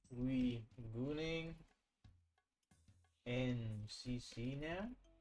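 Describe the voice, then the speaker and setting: Music plays in the background. A man talks with ordinary pitch variation. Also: medium pitch for a man. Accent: American. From England. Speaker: game streamer. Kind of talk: casual live-stream chat. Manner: casual, chatty.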